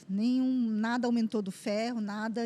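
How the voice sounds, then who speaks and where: At a moderate pace, a woman talks in a high voice. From southern Brazil, Joinville. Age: 40s. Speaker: cancer survivor. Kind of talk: testimony.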